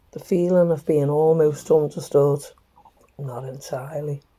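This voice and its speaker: The speaker has a gentle tone and a very slow pace. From Northern England. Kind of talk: reflective walking talk to camera. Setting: outdoors. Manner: soft-spoken, gentle.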